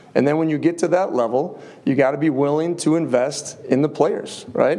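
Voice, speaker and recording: With audible room echo, a man with a fairly high pitch talks at a moderate pace and with fairly even intonation. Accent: slight Upper Midwest. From US Midwest, Upper Peninsula of Michigan. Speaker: college football head coach. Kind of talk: press conference.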